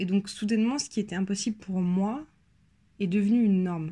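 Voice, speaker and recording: A somewhat breathy woman with a dark, mellow tone and medium pitch speaks at a moderate pace with fairly even intonation, in a very clean recording with a silent background. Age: 20s. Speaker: person sharing lived experience of panic disorder. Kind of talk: personal testimony. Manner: hesitant, many filler sounds.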